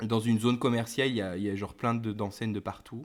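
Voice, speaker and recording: A man with a medium pitch and monotone, flat intonation. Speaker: podcast co-host. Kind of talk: casual chat. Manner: hesitant, repeats words.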